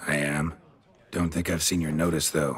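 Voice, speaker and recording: A man's put-on character voice, raspy and very deep, in a flat monotone at a moderate pace. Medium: video game. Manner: terse, dry.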